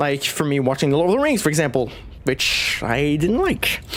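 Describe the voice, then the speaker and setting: The speaker has a Quebec accent and a moderate pace. Noticeable background noise can be heard. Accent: French Canadian accent in English. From Quebec, Canada. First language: French. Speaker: streamer. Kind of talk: casual chat.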